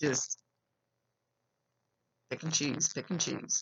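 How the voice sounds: This woman talks at a fairly slow pace with a low pitch, vocal fry, a slightly husky edge and a fairly bright tone.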